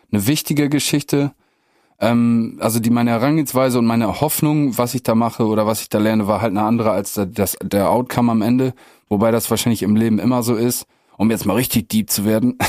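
A plain, everyday voice speaks at a fairly quick pace with fairly even intonation. The recording is very clean with a silent background. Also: man. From northwest Germany (Meppen, Emsland). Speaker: rapper. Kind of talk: casual chat.

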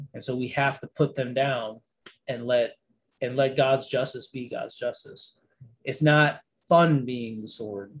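Somewhat breathy and in an American accent, the speaker talks at a fairly slow pace with fairly even intonation and big swings in loudness. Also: man, medium pitch for a man. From Niagara Falls, New York. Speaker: army veteran and minister. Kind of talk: casual chat.

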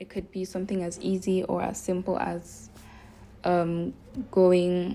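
A woman talks at a fairly slow pace and medium pitch, with a dark, mellow tone. Her intonation is monotone and flat, broken by long, frequent pauses. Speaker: religious podcaster. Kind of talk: casual religious talk.

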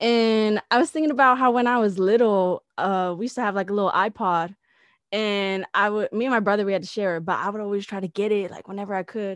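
The sound is dry and close with no echo over a quiet background. A woman speaks at a very fast pace. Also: medium pitch for a woman, ordinary pitch variation. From San Diego, California. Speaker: independent musician. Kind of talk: casual interview.

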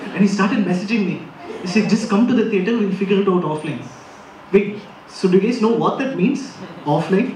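A man's high voice at a fairly quick pace, with ordinary pitch variation, long, frequent pauses and noticeable background noise. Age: 20s. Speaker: stand-up comedian. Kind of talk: stand-up. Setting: stage with audience.

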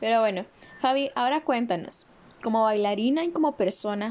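At a fairly quick pace, a woman talks in a fairly high voice. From Costa Rica. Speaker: podcast host. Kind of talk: podcast interview.

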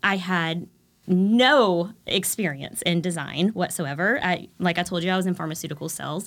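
A woman with an American accent and a plain, everyday voice, fairly low in pitch, at a moderate pace with ordinary pitch variation, on a very clean recording with a silent background. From Texas, Texas-Louisiana border. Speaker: home decor influencer. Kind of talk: casual interview.

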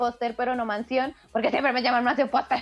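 Music runs in the background as a woman talks in a high-pitched voice. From Latin America. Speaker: podcast co-host. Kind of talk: casual chat.

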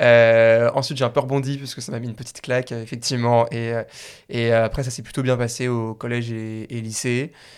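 A man with a medium pitch speaks at a fairly quick pace in a flat monotone, his loudness swinging widely, on a very clean recording with a silent background. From Paris area, France. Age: 20s. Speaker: startup founder. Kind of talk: interview. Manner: hesitant, many fillers and repeats.

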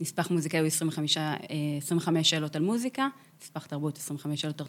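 Over a silent background in a very clean recording, a woman speaks with a very deep, low pitch. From Israel, kibbutz in Beit She'an valley. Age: 30s. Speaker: chief music editor of a radio station. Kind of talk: interview conversation.

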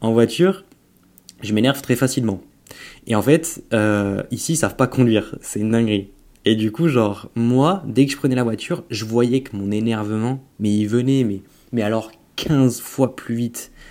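Over a very clean recording with a silent background, a man with a dark, mellow tone and a medium pitch speaks at a fairly slow pace with ordinary pitch variation. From Auvergne, France. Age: 20s. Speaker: bodybuilder and entrepreneur. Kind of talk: casual interview chat.

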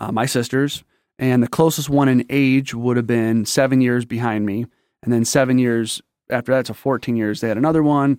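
An American accent marks a man's normal speaking voice at a medium pitch, with fairly even intonation and a moderate pace. The sound is dry and close with no echo, in a very clean recording with a silent background. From Michigan, Detroit area. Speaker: military veteran, church member. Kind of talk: casual interview, life story testimony.

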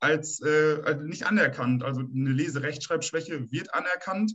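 A man with an ordinary speaking voice at a moderate pace. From northern Germany, Münsterland. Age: 30s. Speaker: plumber and state election candidate. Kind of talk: political discussion.

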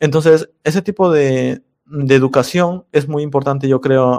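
The speaker is a man with a fairly high pitch. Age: 20s. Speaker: programming tutorial YouTuber. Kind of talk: casual interview chat. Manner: hesitant, many fillers.

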